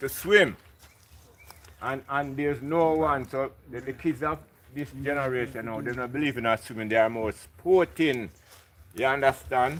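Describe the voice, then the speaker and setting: With a Jamaican accent, a man talks at a moderate pace in a medium pitch with ordinary pitch variation. He leaves long, frequent pauses. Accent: Jamaican English with patois. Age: 60s. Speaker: local resident. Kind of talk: casual chat.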